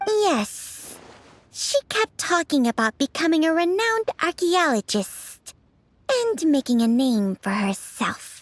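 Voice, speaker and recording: At a fairly slow pace, the speaker uses a put-on character voice with a high pitch and very wide pitch swings. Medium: video game. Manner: sincere, slightly formal.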